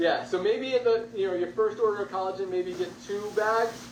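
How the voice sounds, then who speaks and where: Background noise is clearly present. The speaker's intonation rises and falls in a lively way. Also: man. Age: 50s. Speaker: company founder and CEO. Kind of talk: business presentation webinar. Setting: video call.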